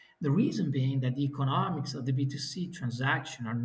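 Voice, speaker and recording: A man with an Italian accent, medium pitch and a fairly quick pace. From Italy. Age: 40s. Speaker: business executive. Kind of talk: interview.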